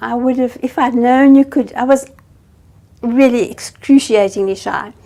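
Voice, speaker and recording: A high-pitched woman's voice with fairly even intonation, over noticeable background noise. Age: 70s. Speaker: environmental activist. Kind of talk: interview.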